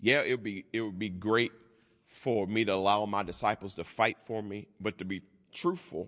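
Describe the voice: The text is read aloud plainly, and its intonation stays fairly level.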